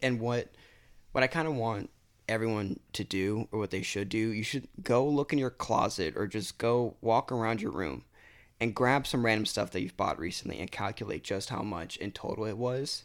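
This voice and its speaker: On a very clean recording with a silent background, a man with a plain, everyday voice and an American accent speaks at a moderate pace with ordinary pitch variation. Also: medium pitch for a man. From Florida. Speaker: college student. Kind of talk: casual chat.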